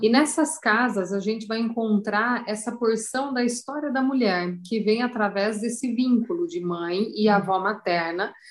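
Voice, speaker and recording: A woman's ordinary speaking voice with lively intonation. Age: 40s. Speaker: astrologer. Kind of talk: interview.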